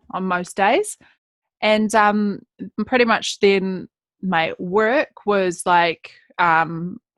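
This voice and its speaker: A speaker with a New Zealand accent and ordinary pitch variation. The recording is very clean, with a silent background and a dry, close sound with no echo. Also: woman. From New Zealand, West Coast of South Island. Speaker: public speaker and author. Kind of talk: podcast interview. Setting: podcast.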